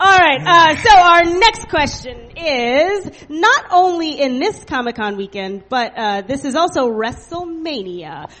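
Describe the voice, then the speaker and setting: Pitched high, a woman speaks with very wide pitch swings and hardly any pauses over noticeable background noise. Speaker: comedy show host. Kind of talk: live comedy show banter. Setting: stage with audience.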